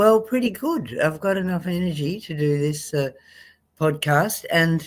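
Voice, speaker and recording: A woman's fairly low voice in an Australian accent, with lively intonation and a fairly slow pace. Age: 70s. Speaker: medical doctor. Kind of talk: health webinar talk. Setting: live stream video call.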